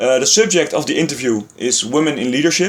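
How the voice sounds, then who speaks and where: Talking at a very fast pace, a man with a Dutch accent keeps a fairly high pitch and ordinary pitch variation. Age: 20s. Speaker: student interviewer. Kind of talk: interview. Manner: halting.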